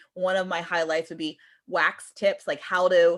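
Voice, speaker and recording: Pitch moves in an ordinary way. The background is silent and the recording very clean. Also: woman. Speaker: direct sales team leader. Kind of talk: team training call. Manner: fast; casual.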